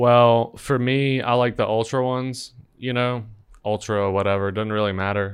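In an ordinary speaking voice, a man talks at a fairly slow pace with fairly even intonation against a quiet background. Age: 30s. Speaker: podcast host. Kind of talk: casual chat.

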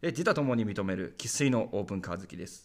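On a very clean recording with a silent background, a man's voice moves through very wide pitch swings. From Saitama, Japan. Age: 20s. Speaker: podcast host, rural community volunteer. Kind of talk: solo podcast monologue.

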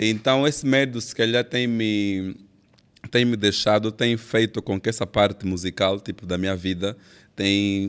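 A man's fairly low, slow delivery in a normal speaking voice, with ordinary pitch variation on a very clean recording with a silent background. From Angola, Benguela. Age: young. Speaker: gospel singer and songwriter. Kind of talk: casual interview.

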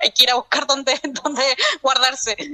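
At a moderate pace, a woman uses a raised, projected voice that is high-pitched, with a bright, sharp tone. The sound is dry and close, with no echo. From Chile. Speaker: psychologist and doctoral researcher. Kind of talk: remote interview.

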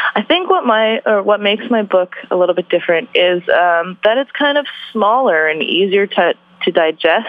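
A woman's medium-pitched voice in a Canadian accent, with lively intonation, very even loudness, a moderate pace, and noticeable background noise. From Vancouver, Canada. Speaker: journalist and author. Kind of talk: interview.

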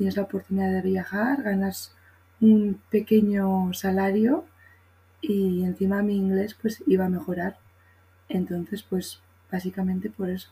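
A woman's dark, mellow, somewhat breathy voice moves at a fairly slow pace. Her intonation is fairly even, broken by long, frequent pauses. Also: medium pitch for a woman. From Spain. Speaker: primary school teacher and former au pair. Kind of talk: casual chat.

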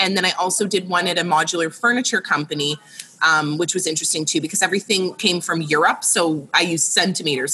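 Noticeable background noise sits behind a woman with a Canadian accent. She talks at a very fast pace. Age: 30s. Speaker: interior designer. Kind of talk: casual chat.

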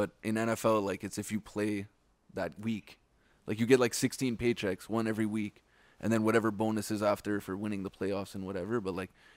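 This man has a Montreal accent and a fairly low pitch, talking at a very fast pace in a monotone, flat way. The recording is very clean, with a silent background. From Quebec, Montreal West Island (Pointe-Claire). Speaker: podcast co-host. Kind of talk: casual chat.

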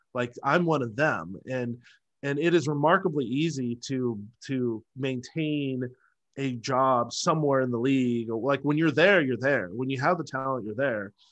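An unremarkable speaking voice from a man, medium in pitch, at a moderate pace over a quiet background. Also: ordinary pitch variation. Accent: American. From US Pacific Northwest, Seattle. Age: 40s. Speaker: sales and marketing coach. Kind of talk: casual interview chat.

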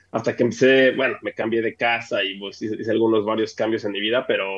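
Here a man speaks at medium pitch. His pace is moderate. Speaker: podcast co-host. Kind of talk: casual chat.

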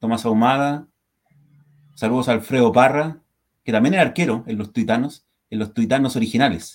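A man's medium-pitched voice at a fairly quick pace, ordinary pitch variation, and long, frequent pauses. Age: 40s. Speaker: football fan podcast co-host. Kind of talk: casual chat. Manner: animated.

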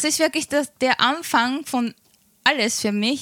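A woman's high, raised, projected voice in a Japanese accent, bright and sharp in tone, at a very slow pace with fairly even intonation. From small town in Japan. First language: Japanese (speaking German). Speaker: Twitch streamer. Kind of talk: interview. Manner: halting.

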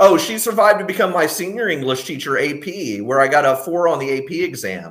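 A man with an American accent speaks in a fairly high voice with vocal fry. His pitch swings very widely and he hardly pauses at all. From Texas. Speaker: podcast guest, longtime patron. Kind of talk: casual chat.

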